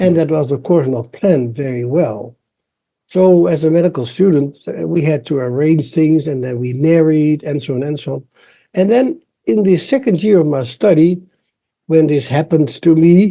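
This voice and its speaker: In a Dutch accent, a man talks at a fairly high pitch with a dark, mellow tone. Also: ordinary pitch variation, moderate pace. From Netherlands. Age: 70s. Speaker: embryologist. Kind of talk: interview.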